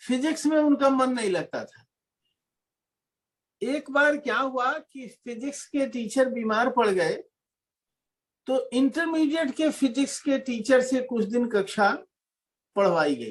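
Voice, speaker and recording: Extremely high-pitched, a man talks with ordinary pitch variation, big swings in loudness and long, frequent pauses. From Bhojpuri-speaking region of India (eastern UP / Bihar), rural village. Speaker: lecturer, academic on Bhojpuri. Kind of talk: lecture Q&A answer.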